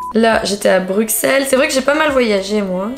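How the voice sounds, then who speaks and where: A woman's fairly high voice at a fairly slow pace, ordinary pitch variation, faint music in the background. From southern France, Marseille; southern France. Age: 30s. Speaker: influencer, YouTuber. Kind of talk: casual vlog. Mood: playful, self-mocking. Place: home room. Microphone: camera far.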